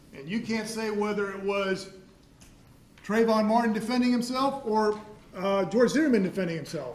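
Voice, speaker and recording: A man speaks loudly at a moderate pace and a high pitch, with ordinary pitch variation. There is noticeable background noise and audible room echo. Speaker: prosecutor. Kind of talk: courtroom cross-examination. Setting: courtroom.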